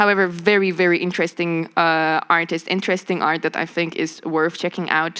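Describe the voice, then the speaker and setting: A woman's fairly low, bright and sharp voice in a monotone, flat intonation, on a very clean recording with a silent background. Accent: Polish. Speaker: creative director and media producer. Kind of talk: panel discussion.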